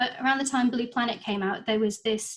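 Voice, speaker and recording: A woman's somewhat breathy, fairly high-pitched voice in a monotone, flat intonation. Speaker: marine conservationist giving a talk. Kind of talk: online lecture. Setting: video call meeting. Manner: hesitant, many fillers.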